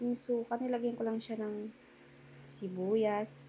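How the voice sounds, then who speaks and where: A woman with a dark, mellow, somewhat breathy voice talks with fairly even intonation. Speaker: cooking vlogger. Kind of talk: cooking vlog voice-over. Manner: casual, chatty.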